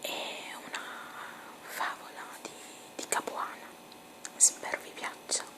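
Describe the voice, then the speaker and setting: A very slow whisper broken by long, frequent pauses, over noticeable background noise. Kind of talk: ASMR fairy tale reading. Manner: whispered.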